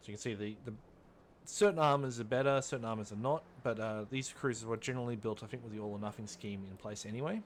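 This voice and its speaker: Someone with an Australian accent speaks at a very fast pace with ordinary pitch variation. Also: man, medium pitch for a man. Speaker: gaming YouTuber. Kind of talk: gameplay commentary. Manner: casual, with many fillers and self-corrections.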